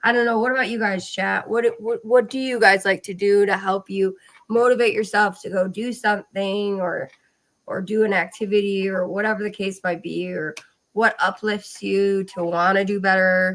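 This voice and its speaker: A woman with a normal speaking voice talks at a moderate pace, medium in pitch and fairly even in intonation. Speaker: podcast host. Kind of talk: casual chat.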